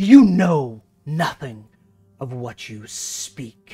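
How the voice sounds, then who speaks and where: A put-on, cackling character voice at a low-to-middle pitch and very slow pace, with faint music in the background. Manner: dismissive, scornful.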